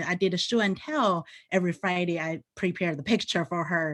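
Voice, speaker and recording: A woman with a Chinese accent talks at a moderate pace in a fairly low pitch with ordinary pitch variation, on a very clean recording with a silent background. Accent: Mandarin-accented English. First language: Mandarin. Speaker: teacher. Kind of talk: panel presentation.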